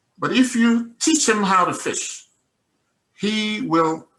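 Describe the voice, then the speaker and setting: A man speaks with a Nigerian accent in a raised, projected voice. His tone is bright and sharp, and his pitch swings very widely. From Nigeria, Igbo (Mbise). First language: Igbo. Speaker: investor giving testimony. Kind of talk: testimony. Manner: animated.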